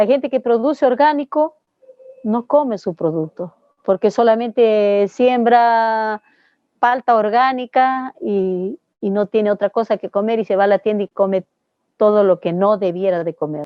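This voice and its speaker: A woman talks in a plain, everyday voice, fairly high in pitch with ordinary pitch variation. Her pace is fairly slow. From Peru. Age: 60s. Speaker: organic dairy farmer and agronomist. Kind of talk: interview answer.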